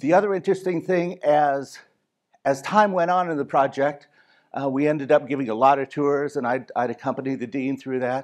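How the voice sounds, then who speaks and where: Over a quiet background, a man speaks at a moderate pace with fairly high pitch and ordinary pitch variation. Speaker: university design and construction director. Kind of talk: conference presentation. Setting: conference stage with audience. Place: stage. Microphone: headset.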